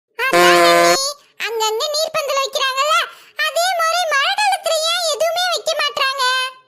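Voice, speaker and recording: A cartoonish character voice moves at a fairly slow pace. Its pitch swings very widely. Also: woman, extremely high pitch for a woman. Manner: eager, self-satisfied.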